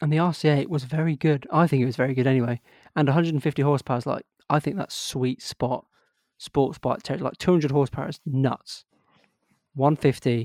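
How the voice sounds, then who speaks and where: Fairly high in pitch, a man talks at a very fast pace with fairly even intonation. The sound is dry and close, with no echo. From Yorkshire, northern England. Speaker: podcast host, motorcyclist. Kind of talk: casual chat.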